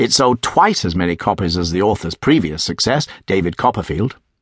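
A man with a British accent, fairly quick, with very wide pitch swings and a dry, close sound with no echo. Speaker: audiobook introducer. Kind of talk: scripted literary introduction. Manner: clear, formal, informative.

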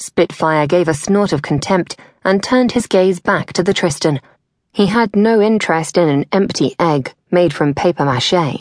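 In a British accent, a theatrical, menacing tone comes through at a moderate pace with very even loudness and a dry, close sound with no echo. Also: woman, fairly low pitch for a woman, ordinary pitch variation. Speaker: audiobook narrator. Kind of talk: audiobook narration of a fantasy story. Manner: dramatic, storytelling delivery with wry humor; brisk, theatrical pacing with a tense, menacing tone.

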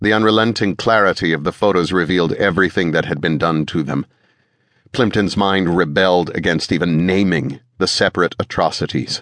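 At a fairly quick pace, a man talks in a very deep, low pitch with ordinary pitch variation and very even loudness. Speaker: audiobook narrator. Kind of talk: dramatic audiobook narration, thriller.

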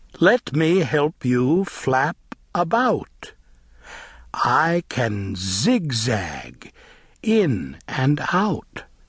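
A man speaks very slowly in a fairly high, somewhat breathy voice. His pitch swings very widely. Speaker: audiobook narrator. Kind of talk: children's read-along storybook reading aloud. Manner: animated, sing-song rhythmic, bouncy; slow, clear, coaxing pace for young listeners.

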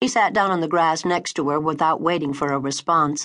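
Against a quiet background, a woman with a fairly low voice speaks at a moderate pace in a dramatic tone, with ordinary pitch variation. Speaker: audiobook narrator. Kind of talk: audiobook narration, romance fiction read aloud. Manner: dramatic, expressive, voicing characters; warm, intimate first-person storytelling.

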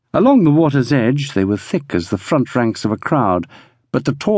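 Quiet surroundings and an unforced reading voice

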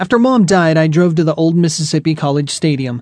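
Fairly high-pitched for a man, this speaker has a plain, everyday voice and a moderate pace. The sound is dry and close, without echo. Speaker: audiobook narrator. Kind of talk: audiobook reading of a first-person memoir. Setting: studio.

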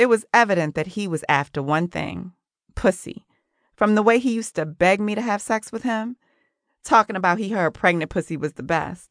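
A woman speaks at a moderate pace in a medium pitch with an animated tone and ordinary pitch variation, the sound dry and close with no echo over a quiet background. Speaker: audiobook narrator. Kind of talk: dramatic first-person audiobook narration. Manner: gritty, sassy, street-smart, confessional; animated, with dry, sarcastic bite.

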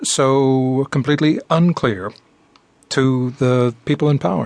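The sound is dry and close with no echo as a man with a fairly high voice speaks at a very slow pace. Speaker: radio host. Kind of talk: interview.

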